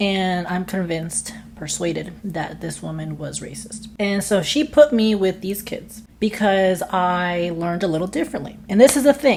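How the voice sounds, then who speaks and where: With a Spanish accent, a woman at medium pitch speaks in an animated tone, somewhat breathy, at a moderate pace with hardly any pauses, lively intonation and big swings in loudness. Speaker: online content creator. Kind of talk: vlog monologue.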